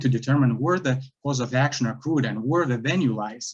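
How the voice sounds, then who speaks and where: Somewhat breathy, a man with a Lithuanian accent speaks at a medium pitch. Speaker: self-represented appellant. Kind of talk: appellate oral argument. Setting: courtroom. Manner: halting, many fillers.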